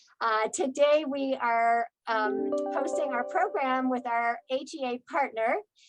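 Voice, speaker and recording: A woman talks very slowly in a high pitch with ordinary pitch variation and hardly any pauses. The sound is dry and close with no echo, and music plays in the background. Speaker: community outreach coordinator. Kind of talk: program host introduction.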